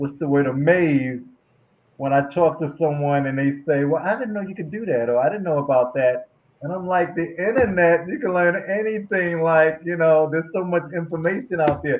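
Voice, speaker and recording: A man speaks at a moderate pace in a fairly high pitch, with ordinary pitch variation and an ordinary speaking voice. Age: 50s. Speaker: panel guest. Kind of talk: casual chat.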